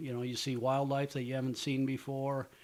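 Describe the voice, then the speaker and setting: A man with an American accent speaks in a normal speaking voice at a fairly quick pace and a medium pitch. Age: 60s. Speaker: professional walleye angler and youth fishing promoter. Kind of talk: interview.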